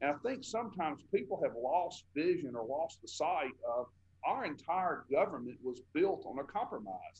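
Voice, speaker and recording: A man talks in a Southern US accent with lively intonation. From Tupelo, Mississippi. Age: 40s. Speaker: state senator. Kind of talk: interview.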